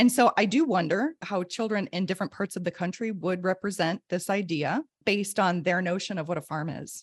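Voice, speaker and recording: A woman with an American accent speaks in an unremarkable speaking voice at a medium pitch, fairly quick with hardly any pauses and ordinary pitch variation, the sound dry and close with no echo. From US Midwest. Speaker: podcast co-host and educator. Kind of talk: casual chat.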